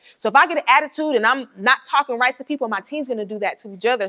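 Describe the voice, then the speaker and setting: With an American accent, a woman speaks high in pitch, her intonation lively and her tone animated. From Atlanta, US South. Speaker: entrepreneur and business coach. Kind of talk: classroom guest talk. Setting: university classroom. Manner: fast.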